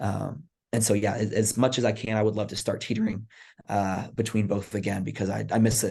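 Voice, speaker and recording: A man with an American accent speaks at a very fast pace with fairly low pitch and monotone, flat intonation. His tone is dark and mellow, with vocal fry. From Texas. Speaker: college volleyball coach. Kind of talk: podcast interview. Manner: casual, many fillers.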